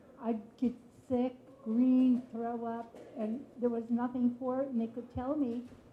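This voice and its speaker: There is noticeable background noise behind a woman's high-pitched voice. She speaks at a moderate pace. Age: 80s+. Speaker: audience member. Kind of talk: audience question.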